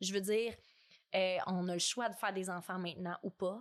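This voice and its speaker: With a Quebec accent, a woman talks at a moderate pace. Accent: Québécois French. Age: 20s. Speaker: podcast guest. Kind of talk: casual chat. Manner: animated.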